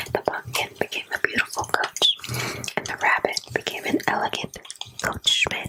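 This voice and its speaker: A woman whispers at a moderate pace, leaving long, frequent pauses, with noticeable background noise. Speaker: ASMR creator. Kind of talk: ASMR bedtime story reading. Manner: whispered, soft-spoken.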